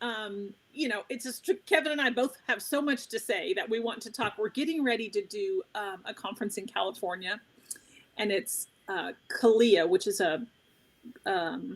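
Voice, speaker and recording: A woman with an American accent speaks in a normal speaking voice at a fairly high pitch. Her intonation is lively and her pace moderate. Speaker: trauma survivor and advocate, trainer. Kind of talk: interview conversation.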